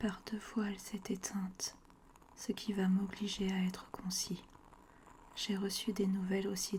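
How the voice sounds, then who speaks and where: A soft-spoken woman of medium pitch talks in a monotone, flat way. She goes at a fairly slow pace with long, frequent pauses. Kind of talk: ASMR book reading by the fire. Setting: audio recorded separately from video. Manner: soft-spoken, relaxing.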